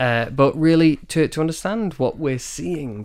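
Someone with a Manchester accent speaks at a fairly slow pace with ordinary pitch variation. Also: man. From northern England, Manchester. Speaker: marine biologist. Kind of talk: interview. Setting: studio.

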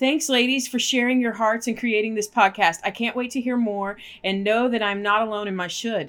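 Using a normal speaking voice, a woman talks at a fairly quick pace with hardly any pauses. Her pitch is fairly high with ordinary pitch variation, on a very clean recording with a silent background. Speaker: podcast co-host. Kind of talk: casual chat.

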